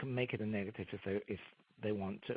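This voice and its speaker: A man with an English accent speaks at a fairly quick pace. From England. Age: 50s. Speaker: career coach and author. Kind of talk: interview.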